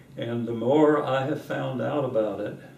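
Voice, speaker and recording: Delivered at a fairly slow pace, the speech carries audible room echo and light background noise. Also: man. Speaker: interviewee. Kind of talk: interview answer. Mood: warm, amused, reflective. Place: home room.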